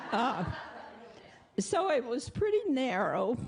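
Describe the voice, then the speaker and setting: Very wide pitch swings mark a woman's speech in an American accent, with music in the background. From US South, Arkansas. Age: 80s+. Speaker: congregation member. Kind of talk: testimony. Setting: church.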